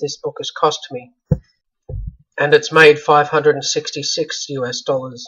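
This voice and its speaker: A man speaks with an Australian accent at a fairly high pitch. His tone is bright and sharp, and his intonation is monotone and flat. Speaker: self-published author. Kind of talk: casual video update.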